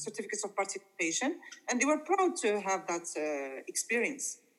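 Here a woman talks at a fairly quick pace, her pitch fairly high. There is noticeable background noise. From Morocco. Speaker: English teacher. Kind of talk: interview. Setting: video call. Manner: halting.

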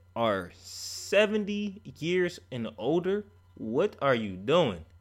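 The tone is animated, and the pitch swings very widely. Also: man. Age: 20s. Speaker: podcast host. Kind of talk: casual solo commentary.

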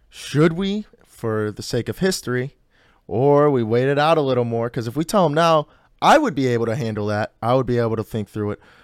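An unremarkable speaking voice from a man with an American accent, medium in pitch, fairly quick, with ordinary pitch variation, a dry, close sound with no echo and a very clean recording with a silent background. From Chicago south suburbs, US Midwest. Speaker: podcast host. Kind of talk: casual chat.

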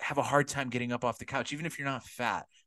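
A man with an American accent speaks at a fairly quick pace over a quiet background. He has a plain, everyday voice at a medium pitch. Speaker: podcast co-host. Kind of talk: casual chat.

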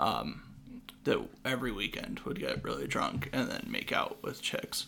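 In an American accent, a man talks while noticeable background noise carries on. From Washington state. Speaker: podcast host and comedian. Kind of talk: casual chat.

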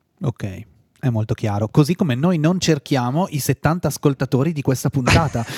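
The voice is somewhat breathy and moves at a moderate pace. The sound is dry and close, with no echo. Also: man, fairly high pitch for a man. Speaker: podcast host. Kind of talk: casual interview chat. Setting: studio.

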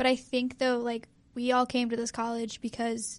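Over a quiet background, a woman speaks with a high pitch. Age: 20s. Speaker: pre-med student podcast co-host. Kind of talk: casual chat. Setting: studio.

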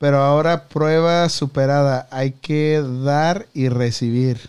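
This man has a normal speaking voice, pitched fairly high, with fairly even intonation. The recording is very clean, with a silent background. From Mexico. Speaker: podcast host. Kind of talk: casual chat. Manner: casual, slangy.

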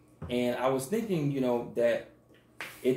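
Noticeable background noise and audible room echo surround a man who talks at a moderate pace in an American accent. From US South, Mississippi. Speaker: podcast co-host. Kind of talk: casual chat.

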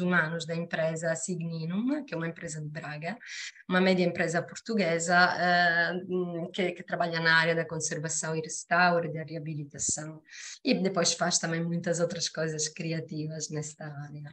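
A woman speaks with an Italian accent at a fairly low pitch. Her pace is moderate and her intonation monotone and flat. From Sicily, Italy. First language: Italian (speaking Portuguese). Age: 40s. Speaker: human resources professional. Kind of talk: casual interview chat.

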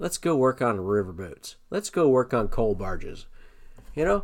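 A man speaks with an American accent in a plain, everyday voice. His pitch is medium and his pace moderate. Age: 30s. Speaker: podcast host, cancer survivor and Navy veteran. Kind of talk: personal story monologue. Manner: casual, with frequent fillers.

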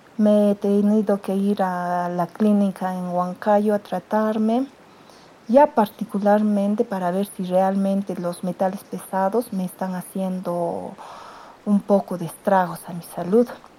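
At a fairly slow pace, a woman speaks at a medium pitch with a dark, mellow tone and fairly even intonation. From Peru, Cerro de Pasco. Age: 50s. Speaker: secondary school teacher. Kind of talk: interview.

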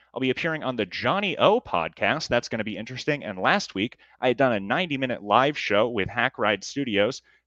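Over a quiet background, a man talks at a fairly quick pace and medium pitch, his tone bright and sharp and his intonation lively. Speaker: podcast host. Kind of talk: casual interview chat. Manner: announcer-style delivery.

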